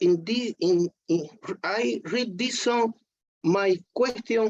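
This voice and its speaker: A woman with a non-native accent speaks very slowly, her intonation lively, in a dry, close recording with no echo. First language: not English. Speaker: devotee. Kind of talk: casual chat. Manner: halting.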